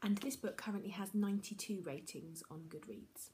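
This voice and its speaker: Soft-spoken, the woman's voice shows ordinary pitch variation. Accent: British. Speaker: book vlogger. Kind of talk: casual monologue to camera. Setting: at home.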